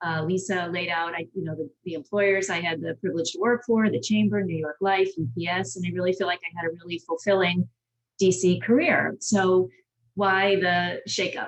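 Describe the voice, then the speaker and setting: In a plain, everyday voice, a woman with an American accent speaks at a moderate pace, with medium pitch and ordinary pitch variation. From Massachusetts, Boston area. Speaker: government relations consultant. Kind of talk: panel talk, personal story.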